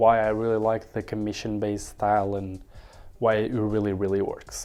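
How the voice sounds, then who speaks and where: Over music in the background, a man with a fairly low pitch speaks at a moderate pace in a monotone, flat way. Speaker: YouTuber. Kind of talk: casual vlog monologue. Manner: casual, filler-heavy.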